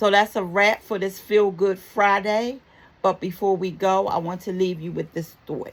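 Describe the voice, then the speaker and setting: A woman's medium-pitched voice with a slight Baltimore accent. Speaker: talk show host. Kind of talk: motivational talk show segment. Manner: warm, upbeat.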